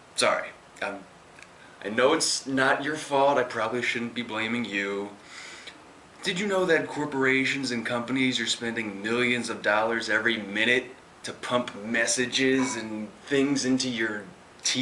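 A man speaks with ordinary pitch variation. There is light background noise behind him. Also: moderate pace. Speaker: presenter. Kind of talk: direct address to camera, persuasive talk. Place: meeting room. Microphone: camera far.

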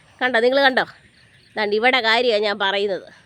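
Her pitch sits fairly high, with fairly even intonation. She speaks in a normal speaking voice. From Kerala, Pathanamthitta area. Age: 30s. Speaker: vlogger. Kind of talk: casual vlog narration. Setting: outdoors.

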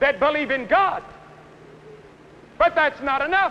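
A man with an American accent speaks at an extremely high pitch. His tone is intense and his pace moderate. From United States. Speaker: evangelist preacher. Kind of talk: stadium sermon. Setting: outdoor stadium. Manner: earnest, intense, persuasive. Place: stadium. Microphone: podium.

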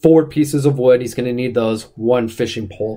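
This man has a dark, mellow tone and fairly even intonation. His pace is fairly quick. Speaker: school staff livestream host. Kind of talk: casual livestream game commentary.

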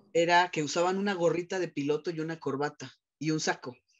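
In a quiet background, a man's speech moves at a fairly quick pace. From Mexico City. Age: 40s. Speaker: psychologist and sexologist; guest. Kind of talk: personal testimony interview. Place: office. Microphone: video call.

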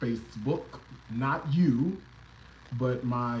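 Somewhat breathy, a man talks at a very slow pace. Light background noise and audible room echo surround him. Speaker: cooking livestream host. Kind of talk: casual livestream chat. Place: kitchen. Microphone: phone near.

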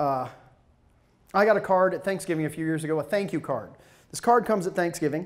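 Over a quiet background, a man with an American accent talks at a very fast pace yet leaves long, frequent pauses. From US South, Georgia. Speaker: motivational speaker. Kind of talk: professional development talk. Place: stage. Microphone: handheld.

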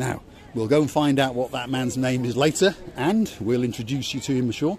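A man speaks at a moderate pace with ordinary pitch variation. The sound is dry with no echo, and there is light background noise. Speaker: travel vlogger. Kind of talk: casual vlog chat. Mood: cheerful, joking. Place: street. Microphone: phone near.

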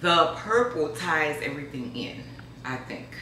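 A woman with a very deep, low pitch speaks at a fairly slow pace, with audible room echo and light background noise. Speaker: home decor vlogger. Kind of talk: casual vlog chat. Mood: pleased, excited. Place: kitchen. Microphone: camera far.

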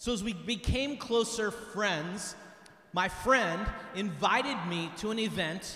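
Projecting a raised voice, a man talks at a very slow pace in a high pitch with ordinary pitch variation, and room echo is audible. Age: 50s. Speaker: retreat team speaker; speaker. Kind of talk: retreat talk to teens. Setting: church with audience. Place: church. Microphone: handheld.

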